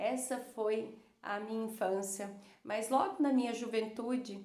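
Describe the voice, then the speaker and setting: A woman at a fairly high pitch and fairly slow pace, with ordinary pitch variation, audible room echo and noticeable background noise. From Brazil, Cuiabá, Mato Grosso. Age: 30s. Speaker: psychologist. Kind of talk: personal storytelling to viewers. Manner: hesitant, many fillers.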